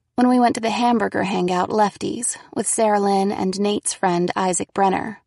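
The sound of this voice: The speaker uses an unforced reading voice. The pitch variation is ordinary.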